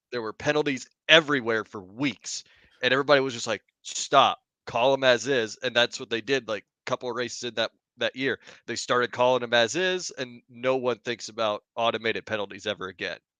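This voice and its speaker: A loud man's voice, bright and sharp in tone, at medium pitch with ordinary pitch variation and a fairly quick pace, dry and close with no echo against a quiet background. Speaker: football podcast co-host. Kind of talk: casual chat. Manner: animated.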